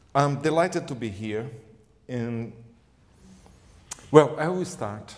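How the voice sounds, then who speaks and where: In a Brazilian accent, a man speaks at a very slow pace with lively intonation and a fairly high pitch, his loudness swinging widely amid audible room echo. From Brazil, Rio de Janeiro. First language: Portuguese. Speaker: gerontologist, lecturer. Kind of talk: lecture.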